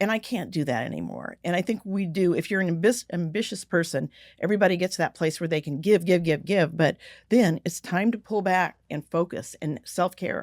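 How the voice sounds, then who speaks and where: In a normal speaking voice of medium pitch, a woman talks at a fairly quick pace with lively intonation, recorded very cleanly against a silent background with a dry, close sound and no echo. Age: 60s. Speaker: business author and communicator. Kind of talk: interview conversation.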